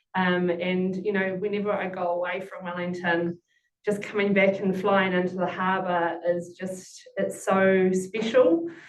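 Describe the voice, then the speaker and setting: A woman's medium-pitched voice with monotone, flat intonation at a fairly slow pace. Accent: New Zealand. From Taranaki, New Zealand. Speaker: hospital representative. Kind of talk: webinar panel talk.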